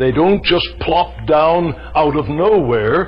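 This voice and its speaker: A man speaks with faint music in the background. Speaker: preacher. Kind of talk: sermon. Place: church.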